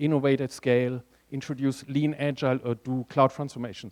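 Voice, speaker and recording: A man speaks with a German accent. The sound is dry and close, with no echo. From Germany. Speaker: conference speaker, tech strategist. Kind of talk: conference talk.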